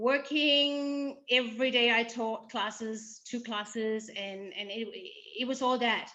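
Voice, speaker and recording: A woman speaks with a Danish accent, her pitch fairly high and her tone bright and sharp. She talks at a very slow pace with fairly even intonation. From Denmark. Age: 50s. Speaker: breast cancer survivor. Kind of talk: casual interview. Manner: halting.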